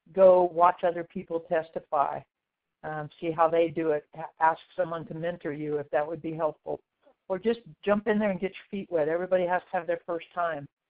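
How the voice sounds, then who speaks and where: A woman with an unremarkable speaking voice, fairly low pitch, fairly quick pace, fairly even intonation and big swings in loudness. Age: 60s. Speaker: therapist and expert witness. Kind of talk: webinar presentation.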